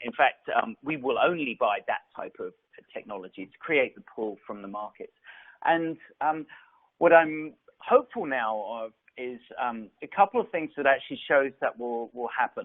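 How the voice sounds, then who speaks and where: Using an English accent, a man with a fairly high pitch talks at a moderate pace, his intonation lively and his loudness swinging widely. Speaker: tech company executive. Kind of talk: conference presentation. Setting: virtual event. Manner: halting, many fillers and repeats.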